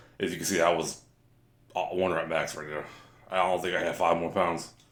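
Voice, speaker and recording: In a room with audible echo, a man speaks at a very fast pace. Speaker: fitness vlogger. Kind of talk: workout voiceover narration. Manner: casual, halting with fillers.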